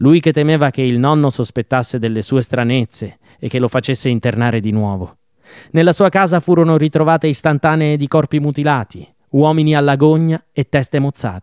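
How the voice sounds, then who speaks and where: In a very clean recording with a silent background and a dry, close sound with no echo, a man with an unremarkable speaking voice talks at a fairly quick pace with ordinary pitch variation. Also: fairly high pitch for a man. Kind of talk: true-crime narration. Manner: formal, steady pace.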